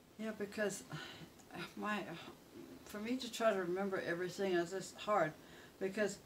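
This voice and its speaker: Amid noticeable background noise, a woman with a medium pitch speaks at a moderate pace with fairly even intonation and long, frequent pauses. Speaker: mother recalling childhood memories. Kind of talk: reminiscing personal storytelling, casual talk.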